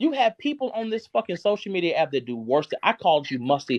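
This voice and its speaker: Loud and at a moderate pace, a man speaks with very wide pitch swings in a dry, close recording with no echo. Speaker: live streamer. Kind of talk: heated rant. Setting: live stream. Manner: animated.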